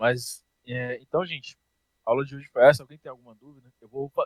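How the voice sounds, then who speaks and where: A man talks at a moderate pace, the sound close and dry with no echo. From Brazil, Brasília. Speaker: programming teacher. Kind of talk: online class. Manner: casual.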